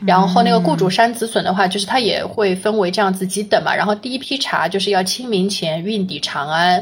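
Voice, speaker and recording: There's noticeable background noise. The speaker talks at a fairly quick pace with hardly any pauses. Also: woman, medium pitch for a woman, ordinary pitch variation. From Huzhou, Zhejiang, China. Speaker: local guest explaining hometown history. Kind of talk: casual chat.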